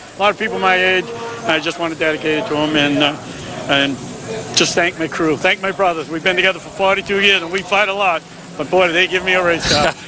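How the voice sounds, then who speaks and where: A man with a high pitch for a man, fairly even intonation and a very fast pace, with music in the background. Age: 60s. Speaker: race car driver. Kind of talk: post-race interview. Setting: outdoors at racetrack, victory lane.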